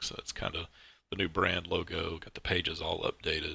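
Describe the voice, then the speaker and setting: A man talks at a fairly quick pace. His words come out mumbled. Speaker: car mod creator streaming his work. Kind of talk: live stream tutorial. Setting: live stream at computer. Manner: mumbling; casual.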